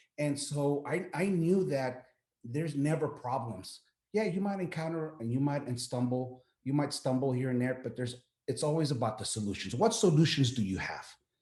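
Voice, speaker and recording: A man's fairly high voice, dark and mellow in tone, somewhat breathy, at a moderate pace. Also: lively intonation. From Texas, El Paso. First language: Spanish. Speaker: military veteran, business owner. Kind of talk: interview. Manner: halting, many repeated words.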